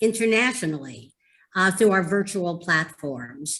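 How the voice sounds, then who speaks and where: A woman speaks with a New York accent. Her intonation is lively. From New York City. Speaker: moderator, mental health advocate. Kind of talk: moderating a community video conversation. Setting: video call, live on Facebook. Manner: hesitant, many fillers.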